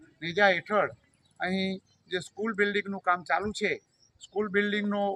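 A man uses a raised, projected voice with a bright, sharp tone and a high pitch in a monotone, flat intonation. The sound is dry and close, with no echo. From North Gujarat, India. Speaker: engineer, construction committee chairman. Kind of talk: on-site interview statement. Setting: outdoors at construction site.

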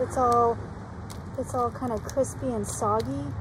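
A dry sound with no echo amid noticeable background noise. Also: woman. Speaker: teacher showing an object. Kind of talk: casual show-and-tell for students. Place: street. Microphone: phone near.

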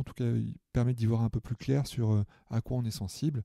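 A man at medium pitch with a dark, mellow tone, at a moderate pace, in a dry, close sound with no echo. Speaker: therapist and coach. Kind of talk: casual interview. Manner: voice dropped in intensity at one point; halting, many repetitions.

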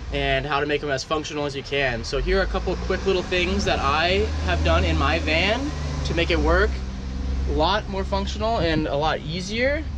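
A man talks at a moderate pace with noticeable background noise. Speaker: van builder vlogger. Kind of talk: casual vlog chat. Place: car. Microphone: phone near.

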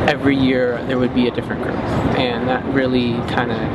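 A man keeps a moderate pace while loud background noise fills the recording. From New Mexico, Navajo reservation. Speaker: young Native interviewee. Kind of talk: interview testimony. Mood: calm, thoughtful. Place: street.

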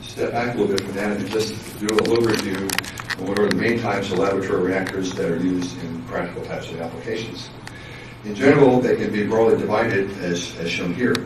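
A man's fairly low voice at a fairly quick pace, with ordinary pitch variation and audible room echo

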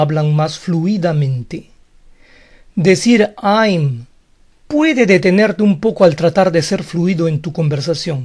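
A man with a high pitch speaks at a fairly slow pace in a very clean recording with a silent background. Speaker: English teacher on video channel. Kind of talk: tutorial.

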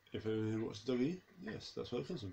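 There is vocal fry in this man's voice. He speaks at a moderate pace. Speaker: gaming video creator. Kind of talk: gameplay commentary. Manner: casual, rambling.

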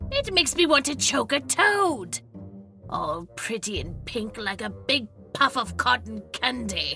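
A female-sounding, put-on character voice moves at a fairly slow pace over clear music in the background. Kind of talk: comic character monologue. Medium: audio drama. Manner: grouchy, complaining, sarcastic.

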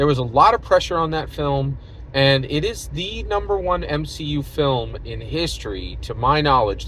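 Light background noise sits under a man's voice in a dry sound with no echo. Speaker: vlogger. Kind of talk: casual vlog commentary. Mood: opinionated, engaged. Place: car. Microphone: phone near.

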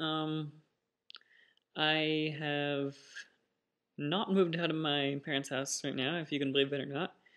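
Over a quiet background, the speaker goes at a fairly slow pace in a monotone, flat intonation, with long, frequent pauses. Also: man. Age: 20s. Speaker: vlogger; first-time vlogger. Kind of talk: casual vlog monologue. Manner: hesitant, many fillers. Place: home room. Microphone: webcam.

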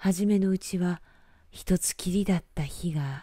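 At a very slow pace, a woman speaks in a dark, mellow tone that is somewhat breathy. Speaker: announcer and narrator. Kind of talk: bedtime story reading.

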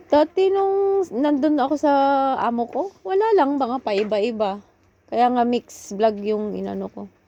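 Speaking at a fairly slow pace, a woman has a high pitch with very wide pitch swings and a dark, mellow tone. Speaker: OFW vlogger. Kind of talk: casual chat.

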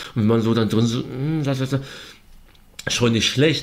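This is a man at a medium pitch. His pitch variation is ordinary. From East Berlin. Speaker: author and journalist. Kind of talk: interview. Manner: halting, many fillers.

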